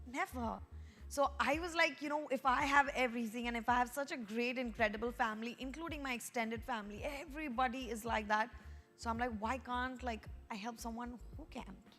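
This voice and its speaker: Amid noticeable background noise, a woman with a high pitch speaks at a fairly quick pace with ordinary pitch variation. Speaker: pageant organizer. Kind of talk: interview. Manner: loud; halting.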